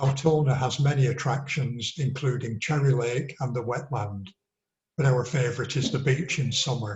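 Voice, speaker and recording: With an English accent, a man speaks at a medium pitch and moderate pace, somewhat breathy, his intonation fairly even. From northern England, Accrington. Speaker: local election candidate. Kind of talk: campaign address.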